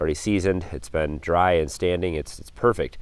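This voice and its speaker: Very deep, low-pitched man's voice at a very fast pace, dry with no echo. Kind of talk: tutorial. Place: forest. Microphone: phone near.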